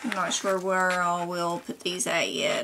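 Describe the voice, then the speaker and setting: Noticeable background noise sits behind a woman with an American accent. She speaks very slowly at a medium pitch. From Kentucky. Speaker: DIY crafts vlogger. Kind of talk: casual show-and-tell haul video. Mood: cheerful, relaxed. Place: home room.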